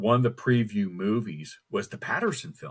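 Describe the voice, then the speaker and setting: A man's lively intonation at a moderate pace, in a very clean recording with a silent background. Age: 60s. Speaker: cryptid researcher. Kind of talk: casual interview. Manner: halting, repeats words.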